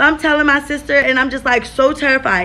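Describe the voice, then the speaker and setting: Using a raised, projected voice, a woman speaks at a fairly quick pace. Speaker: vlogger. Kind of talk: casual vlog chat. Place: home room. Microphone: phone near.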